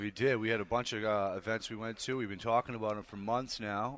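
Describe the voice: A man's fairly low voice with a fairly bright tone moves at a fairly quick pace.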